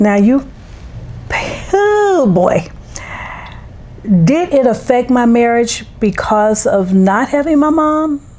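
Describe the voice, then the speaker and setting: Very slow, with long, frequent pauses, the voice swings very widely in pitch while its loudness stays very even, against noticeable background noise. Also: woman, high pitch for a woman. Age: 70s. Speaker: podcast co-host, mother. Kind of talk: casual chat.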